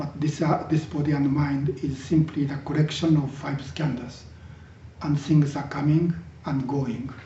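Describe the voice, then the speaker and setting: A man speaks at a fairly slow pace in a fairly high pitch. His voice is somewhat breathy, with monotone, flat intonation. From Japan. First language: Japanese. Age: 60s. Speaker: Zen teacher. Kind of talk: dharma talk. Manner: halting, with many fillers.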